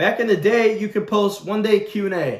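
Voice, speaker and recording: His tone is animated as this man talks. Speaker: YouTuber. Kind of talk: casual vlog rant. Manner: fast.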